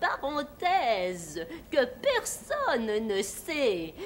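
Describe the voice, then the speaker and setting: In a put-on character voice that sounds female, the speaker cackles at a very slow pace over clear background noise. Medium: stage play. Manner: repetitive exclamations, cackling.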